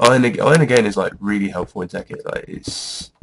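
A man uses a put-on character voice that is raspy and medium in pitch. He keeps a moderate pace. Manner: playful, goofy.

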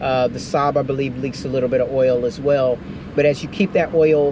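The voice moves at a moderate pace with a dry sound and no echo. Noticeable background noise runs underneath. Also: man. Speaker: vlogger. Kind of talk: casual vlog chat. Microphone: camera far.

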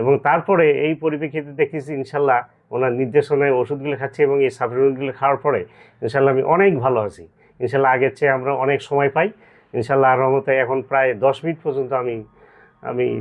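The man's voice sits fairly high in pitch. He keeps his intonation fairly even. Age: 50s. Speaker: patient. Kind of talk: testimony. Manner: halting.

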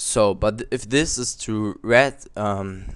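A man's fairly low-pitched voice. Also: quiet background. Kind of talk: software tutorial voice-over. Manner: casual, hesitant.

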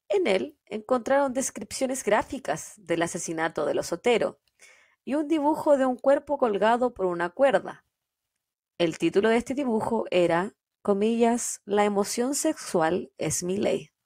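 A woman speaks at a fairly slow pace with lively intonation. Her fairly high voice stands out against a quiet background. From Chile. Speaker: true crime podcast host. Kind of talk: casual chat; true crime storytelling narration. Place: home room. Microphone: studio mic.

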